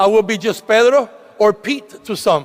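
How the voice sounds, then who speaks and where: With a Puerto Rican accent, a man speaks at a fairly slow pace. His pitch is high, with ordinary variation. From Puerto Rico, San Juan. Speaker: state legislator, commencement speaker. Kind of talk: commencement speech. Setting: graduation ceremony with audience.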